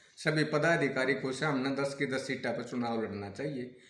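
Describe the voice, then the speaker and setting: A man is speaking amid noticeable background noise. Room echo can be heard. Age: 60s. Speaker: local politician and village leader. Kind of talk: interview.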